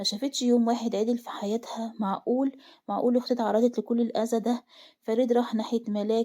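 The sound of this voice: Unforced reading, read aloud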